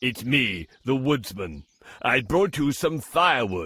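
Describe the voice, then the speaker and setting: A man's cartoonish character voice at medium pitch, fairly slow, with very wide pitch swings. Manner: gentle, polite.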